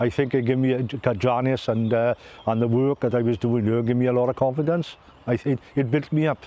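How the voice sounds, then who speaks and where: With a south Wales accent, a man talks at a fairly quick pace, keeping very even loudness and fairly even intonation. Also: medium pitch for a man. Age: 60s. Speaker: former volunteer. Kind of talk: interview testimony. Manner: halting.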